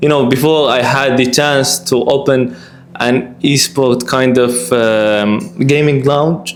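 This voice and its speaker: Speaking very slowly at a medium pitch with ordinary pitch variation and very even loudness, a man is heard with audible room echo and noticeable background noise. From Qatar. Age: 20s. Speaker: esports player. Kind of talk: interview. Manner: halting.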